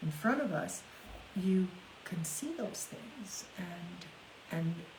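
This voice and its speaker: Against noticeable background noise, a woman speaks at a medium pitch and a very slow pace with lively intonation. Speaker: podcast host discussing paranormal experiences. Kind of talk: casual conversation about ghost stories with guests.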